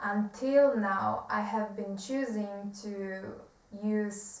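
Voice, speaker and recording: A woman talks in a fairly high pitch with a Polish accent and fairly even intonation. The recording has audible room echo. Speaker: self-help video creator. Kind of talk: reading aloud. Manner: halting.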